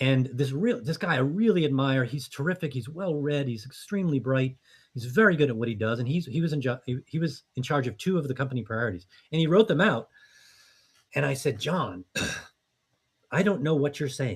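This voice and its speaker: A fairly high, somewhat breathy male voice at a fairly quick pace, with lively intonation. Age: 60s. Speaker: business coach and startup founder. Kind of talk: podcast interview. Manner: conversational, with frequent fillers and repetitions.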